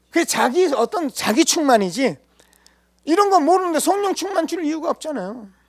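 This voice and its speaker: Speaking at a fairly quick pace, a man uses an extremely high pitch and lively intonation. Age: 60s. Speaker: pastor. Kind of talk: sermon. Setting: church.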